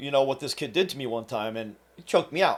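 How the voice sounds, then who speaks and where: Speaking in an American accent, a man with a fairly high pitch uses lively intonation. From New Jersey, Trenton. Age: 40s. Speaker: fitness coach and self-defense instructor. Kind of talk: casual storytelling monologue. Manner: halting, with frequent fillers and repeats.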